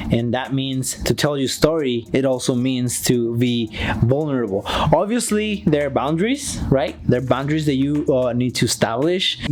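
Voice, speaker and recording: A man's lively intonation with a non-native accent, at a moderate pace with hardly any pauses, over noticeable background noise. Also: medium pitch for a man. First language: not English. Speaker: YouTube vlogger. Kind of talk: casual talk to camera. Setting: outdoors.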